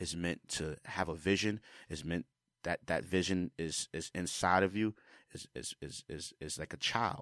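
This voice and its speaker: With a Bronx accent and a very deep, low pitch, a man talks at a fairly slow pace in an animated, passionate tone, the sound dry and close with no echo. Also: ordinary pitch variation. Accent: New York, Bronx. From New York City, the Bronx. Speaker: music producer and drummer. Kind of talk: casual interview. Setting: studio.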